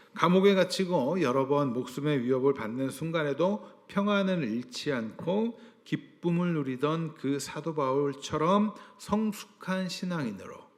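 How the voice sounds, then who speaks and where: Over noticeable background noise, a man talks at a fairly slow pace. His pitch sits fairly high. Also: lively intonation. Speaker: pastor. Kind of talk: sermon.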